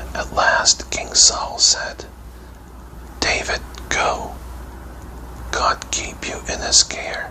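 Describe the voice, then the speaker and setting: Over noticeable background noise, a whisper unfolds at a very slow pace. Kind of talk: bedtime story reading. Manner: whispered.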